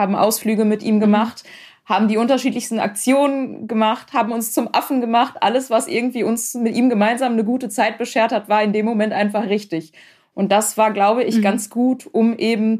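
Fairly high in pitch, a woman talks at a fairly quick pace in a plain, everyday voice, with fairly even intonation and very even loudness in a very clean recording with a silent background. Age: 30s. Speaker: founder of a support association, relative of a cancer patient. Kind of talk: interview about personal experience.

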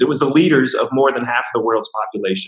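A man with an American accent speaks at medium pitch with ordinary pitch variation. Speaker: trainer and coach living in China. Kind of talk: casual interview chat. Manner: hesitant, filler-heavy.

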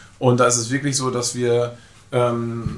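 Amid audible room echo and noticeable background noise, a man with medium pitch speaks at a fairly slow pace. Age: 40s. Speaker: travel company owner. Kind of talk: casual interview. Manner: hesitant, many fillers.

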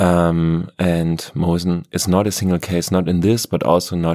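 Fairly even intonation with a German accent, on a very clean recording with a silent background. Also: man. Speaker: podcast host. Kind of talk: podcast intro and interview.

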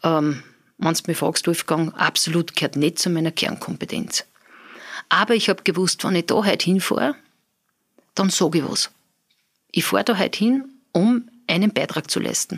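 Pausing long and often, a woman with a fairly low pitch keeps very even loudness and lively intonation in a dry, close sound with no echo. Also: moderate pace. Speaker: business owner. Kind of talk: interview.

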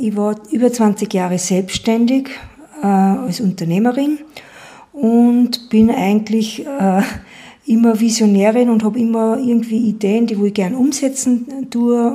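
A female voice, fairly high-pitched and fairly even in intonation, is heard with clear background noise behind it. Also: fairly slow pace. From Upper Austria, Schärding. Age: 50s. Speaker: entrepreneur and environmental volunteer. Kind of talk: interview. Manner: halting.

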